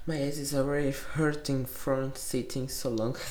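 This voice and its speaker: A woman with a Portuguese accent speaks at a fairly slow pace in a very deep, low pitch, with audible room echo. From Brazil. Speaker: vlogger. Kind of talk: casual self-interview. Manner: giggly.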